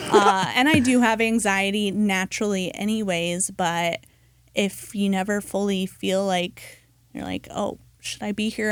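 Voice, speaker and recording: A woman's medium-pitched voice keeps its intonation fairly even and holds a moderate tempo. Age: 30s. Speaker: criminal defense attorney. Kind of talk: podcast interview. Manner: hesitant, many fillers.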